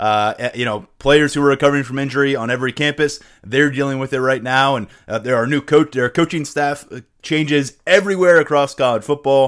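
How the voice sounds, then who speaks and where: A man talks at a fairly quick pace in a normal speaking voice, fairly high-pitched with ordinary pitch variation. The recording is very clean, with a silent background. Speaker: podcast host. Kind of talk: casual sports podcast discussion and interview.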